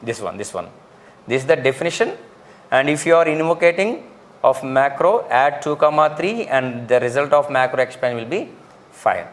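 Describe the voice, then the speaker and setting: This is an ordinary speaking voice from a man with a fairly high pitch. He keeps a moderate pace with ordinary pitch variation. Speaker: lecturer. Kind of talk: lecture. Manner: repetitive.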